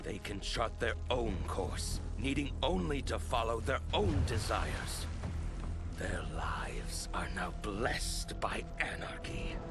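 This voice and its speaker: A man's cartoonish character voice at a fairly slow pace, over loud music in the background. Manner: hard, determined.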